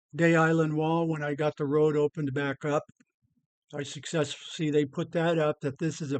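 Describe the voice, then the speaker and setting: A relaxed voice with an American accent speaks at a moderate pace in a flat monotone. The sound is dry and close, with no echo. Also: man. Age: 70s. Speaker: retired scuba diver. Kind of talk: casual narration of photos. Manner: relaxed, halting.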